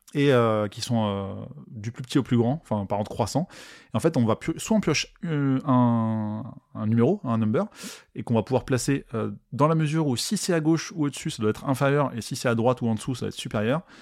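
A plain, everyday voice moves at a fairly quick pace with lively intonation. The recording is very clean, with a silent background. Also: man, medium pitch for a man. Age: 30s. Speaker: podcast host. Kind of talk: casual monologue. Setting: live stream recording.

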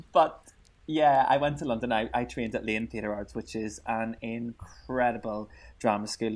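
In a Northern Irish accent, a man talks at medium pitch on a very clean recording with a silent background. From Northern Ireland. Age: 20s. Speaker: radio presenter. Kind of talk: interview.

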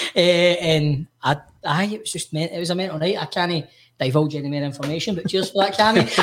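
With a Glasgow accent, a man talks at a very fast pace in a high pitch with ordinary pitch variation. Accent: Scottish (Glasgow). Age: 30s. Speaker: podcast co-host. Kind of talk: casual chat.

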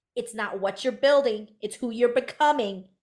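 A woman with an American accent speaks at a moderate pace with ordinary pitch variation in a plain, everyday voice, on a very clean recording with a silent background. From US, Hmong American family. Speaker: business coach for career coaches. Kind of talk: interview, storytelling.

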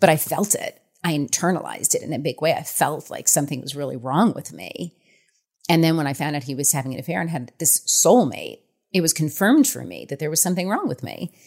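In a very clean recording with a silent background, a woman with an American accent speaks very fast in a very deep, low voice with ordinary pitch variation. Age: 40s. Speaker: author. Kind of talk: interview.

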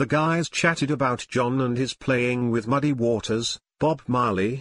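With an unremarkable speaking voice, a man of medium pitch speaks at a fairly slow pace with fairly even intonation, the sound dry and close with no echo over a quiet background. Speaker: show announcer. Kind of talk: scripted narration.

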